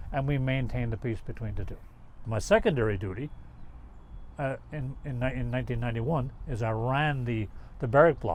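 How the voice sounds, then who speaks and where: Speaking with a Newfoundland accent, a man talks at a fairly quick pace. His pitch is medium and varies in an ordinary way. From Newfoundland, Canada. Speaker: army veteran, peacekeeper. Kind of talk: interview.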